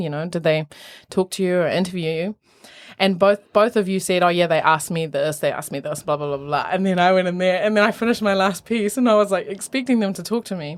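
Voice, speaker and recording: A woman with a New Zealand accent at a very fast pace, with ordinary pitch variation. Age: 20s. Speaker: opera singer. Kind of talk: casual chat. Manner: animated.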